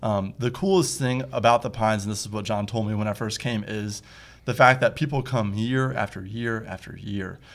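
At a moderate pace, a man with a Midwestern American accent speaks at a medium pitch with ordinary variation, in a very clean recording with a silent background. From US Midwest (Toledo, Ohio). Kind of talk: casual interview.

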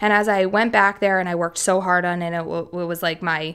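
An unremarkable speaking voice with an American accent moves at a fairly quick pace. Intonation stays fairly even on a very clean recording with a silent background. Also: woman. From US, Philadelphia. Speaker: music tech investor. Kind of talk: interview.

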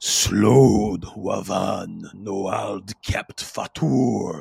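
A man speaks at a very slow pace in a raspy, put-on character voice pitched fairly low. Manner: menacing, distant then louder.

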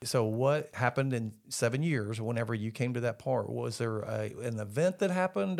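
A man at medium pitch in a normal speaking voice, moderate in pace, on a very clean recording with a silent background. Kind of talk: interview with scripted intro and outro.

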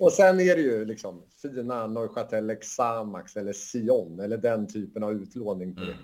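A plain, everyday voice from a man, medium-pitched and at a moderate pace, with lively intonation, big swings in loudness and hardly any pauses. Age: 40s. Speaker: football analytics company co-founder. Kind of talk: casual chat.

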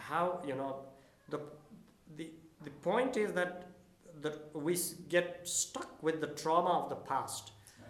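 A man with a fairly high pitch talks at a fairly slow pace, with long, frequent pauses, ordinary pitch variation and big swings in loudness. Room echo is audible and background noise is noticeable. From Nepal. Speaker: school principal. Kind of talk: interview.

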